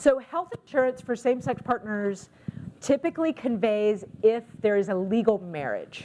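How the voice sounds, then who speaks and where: A woman with an American accent speaks at a fairly high pitch with lively intonation, a plain, everyday voice. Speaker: counselor and social work trainer. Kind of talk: lecture.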